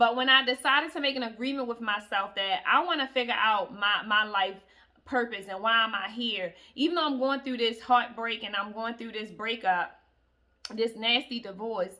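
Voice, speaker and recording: Bright and sharp in tone, a woman's fairly high voice moves at a moderate pace. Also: ordinary pitch variation. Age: 30s. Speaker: self-help vlogger. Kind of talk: motivational talk. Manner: casual, conversational.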